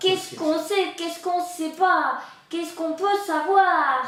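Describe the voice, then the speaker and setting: Put-on character voice at a moderate pace, with a slight echo. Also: woman, extremely high pitch for a woman. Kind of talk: improvised clown comedy. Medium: stage. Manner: playful, naive.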